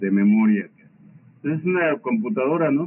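A man's pitch swings very widely as noticeable background noise plays behind him. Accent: Mexican. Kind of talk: casual chat.

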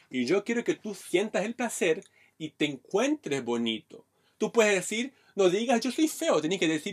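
A man speaks at a moderate pace in a high pitch, with very wide pitch swings. The sound is dry and close, with no echo. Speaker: stand-up comedian. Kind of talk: casual chat. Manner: clipped, choppy delivery.

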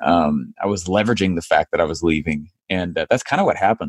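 In an American accent, a man with an unremarkable speaking voice talks at a moderate pace, his pitch fairly low. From United States. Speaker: online marketing entrepreneur. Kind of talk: interview.

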